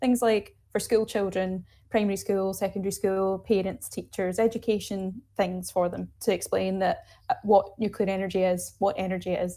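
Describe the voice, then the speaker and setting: With a Glaswegian accent, a woman speaks at a moderate pace and medium pitch in a dark, mellow tone, in a very clean recording with a silent background. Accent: Glaswegian Scottish. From Scotland, Glasgow. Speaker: nuclear energy advocate, climate campaign co-lead. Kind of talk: interview. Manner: animated.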